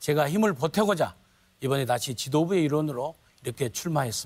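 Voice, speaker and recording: A man's fairly high, somewhat breathy voice at a fairly quick pace, with lively intonation. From Jeolla, South Korea. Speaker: party leadership candidate. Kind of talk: debate opening statement. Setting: TV studio debate.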